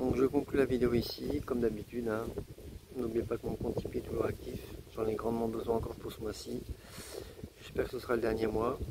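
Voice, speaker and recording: A man with a medium pitch and fairly even intonation talks at a fairly quick pace, with long, frequent pauses and noticeable background noise. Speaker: travel vlogger camping with his dog. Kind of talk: casual vlog talk to camera. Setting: outdoors by a lake. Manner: louder because of the wind.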